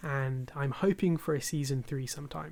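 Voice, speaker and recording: A man with a British accent, fairly high pitch, monotone, flat intonation and a fairly slow pace, on a very clean recording with a silent background. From United Kingdom. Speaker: podcast host. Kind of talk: casual podcast talk.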